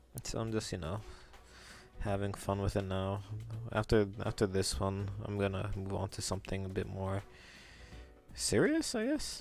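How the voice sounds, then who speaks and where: With music in the background, a man in a fairly low pitch talks at a moderate pace in a relaxed tone, using monotone, flat intonation and long, frequent pauses. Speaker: digital artist streamer. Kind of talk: casual live stream chat while drawing. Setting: live stream. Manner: low-energy, relaxed.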